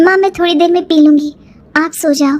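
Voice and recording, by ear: A woman does a cartoonish character voice, extremely high in pitch and monotone, flat in intonation. She races along at a very fast pace with very even loudness.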